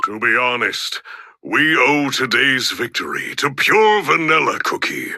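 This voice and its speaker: Here a man puts on a character voice at a fairly high pitch. He speaks at a fairly slow pace. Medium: video game. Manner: solemn, formal.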